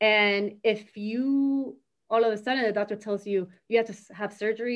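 A woman speaks in an unremarkable speaking voice at a fairly high pitch. Her pitch varies in an ordinary way. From Miami, Florida (born in Argentina, moved as a child). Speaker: community center director. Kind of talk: casual interview conversation.

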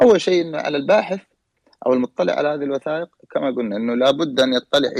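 A man with a normal speaking voice talks at a fairly quick pace, his fairly high pitch showing ordinary variation in a dry, close sound with no echo. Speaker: historian and genealogist. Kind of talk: panel discussion. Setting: online audio room.

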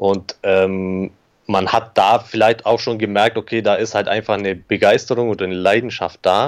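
Background sound is quiet. The speaker's intonation stays monotone and flat. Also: man, fairly low pitch for a man, moderate pace. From Germany, Augsburg (Bavarian Swabia). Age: 30s. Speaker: digital agency owner. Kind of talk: interview. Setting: remote call.

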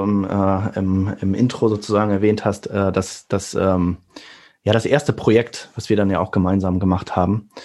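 A man with a fairly low voice delivers his words in a flat monotone, neither hurrying nor dragging, at a moderate pace. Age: 40s. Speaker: engineer and AR developer. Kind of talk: casual chat. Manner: hesitant, many fillers.

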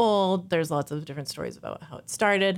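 An American accent with ordinary pitch variation. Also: woman. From Missouri, US Midwest. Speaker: bike shop worker. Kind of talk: casual chat. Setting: studio. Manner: halting.

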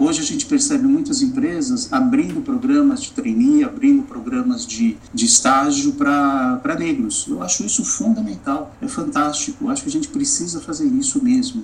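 Speech comes at a moderate pace with hardly any pauses, over noticeable background noise. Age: 50s. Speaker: business executive and diversity consultant. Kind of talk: interview.

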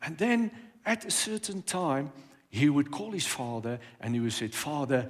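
A man with a fairly high voice lets his pitch swing very widely. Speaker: pastor. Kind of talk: sermon.

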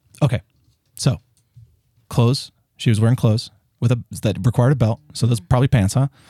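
A man with an American accent talks at a fairly quick pace yet with long, frequent pauses, his somewhat breathy voice dark and mellow in tone, very even in loudness and fairly even in intonation, in a dry, close sound with no echo. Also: medium pitch for a man. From US South. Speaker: actor. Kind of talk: casual chat.

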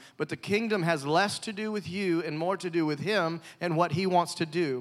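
A very clean, silent-background recording of a man at a high pitch, moderate pace and ordinary pitch variation. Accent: Southern US. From US South. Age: 30s. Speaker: evangelist. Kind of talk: sermon. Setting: church. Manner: animated.

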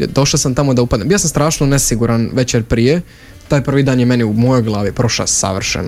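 A man's medium-pitched voice at a fairly quick pace, with ordinary pitch variation, very even loudness and music in the background. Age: young (18). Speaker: theatre directing student, youth drama studio member. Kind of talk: radio interview.

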